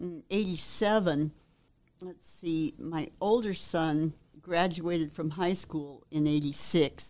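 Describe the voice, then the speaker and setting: Speaking at a very slow pace, a woman with an American accent has a fairly low pitch and fairly even intonation. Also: big swings in loudness. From Arizona, Phoenix. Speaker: former community radio DJ. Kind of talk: interview.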